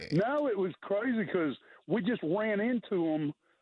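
High-pitched male voice with very wide pitch swings at a fairly slow pace. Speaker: regular radio caller. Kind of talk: casual chat, storytelling. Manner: animated, excitable.

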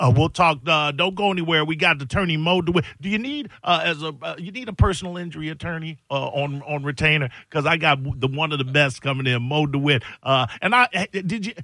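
A man's fairly high, unremarkable speaking voice with ordinary pitch variation. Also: fairly quick pace. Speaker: radio host. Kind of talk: call-in radio show. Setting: studio.

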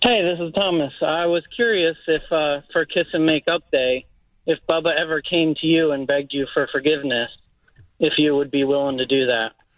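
With ordinary pitch variation, a man of fairly high pitch speaks at a moderate pace. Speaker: radio call-in caller. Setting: phone.

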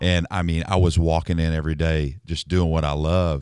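A man talks in a very deep, low pitch with monotone, flat intonation. The recording is very clean, with a silent background. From Nashville. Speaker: songwriter. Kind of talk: interview. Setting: studio.

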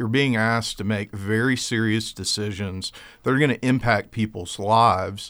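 In an American accent, a man with fairly low pitch talks at a moderate pace with fairly even intonation, an unremarkable speaking voice. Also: very clean recording, silent background. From US South (South Georgia). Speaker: attorney and political candidate. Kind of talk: radio interview. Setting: studio.

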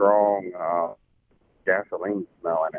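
A man with a plain, everyday voice, fairly low pitch and fairly even intonation. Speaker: caller. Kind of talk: casual call-in question. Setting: phone call.

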